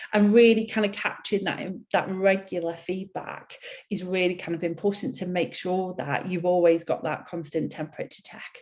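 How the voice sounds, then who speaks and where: A woman's medium-pitched voice with a Mancunian accent and fairly even intonation. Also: moderate pace. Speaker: HR consultancy CEO. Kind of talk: webinar presentation. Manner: hesitant, many fillers.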